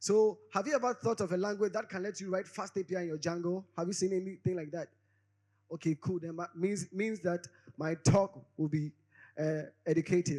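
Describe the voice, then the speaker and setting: Fairly quick and high-pitched, a man's voice has a dark, mellow tone and ordinary pitch variation. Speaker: conference speaker. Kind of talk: conference talk. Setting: stage with audience. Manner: fast; animated.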